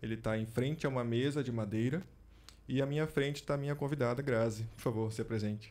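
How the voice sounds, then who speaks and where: A man talks at a very fast pace with medium pitch. His intonation stays fairly even. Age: 40s. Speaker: podcast host. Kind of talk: interview. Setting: studio.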